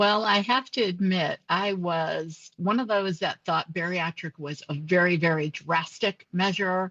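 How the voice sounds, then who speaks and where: A woman's fairly low, unremarkable speaking voice at a fairly slow pace with fairly even intonation, in a dry, close sound with no echo. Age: 60s. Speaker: nurse and bariatric surgery patient. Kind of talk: interview testimony.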